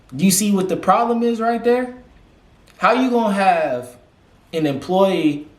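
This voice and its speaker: An animated male voice at a moderate pace, with audible room echo. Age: 20s. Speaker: vlogger. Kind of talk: casual monologue.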